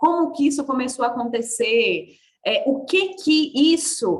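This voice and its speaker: Her voice is high-pitched, with lively intonation. The woman keeps a fairly slow pace. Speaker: body work mentor. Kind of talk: online workshop lecture. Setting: live video call. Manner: animated.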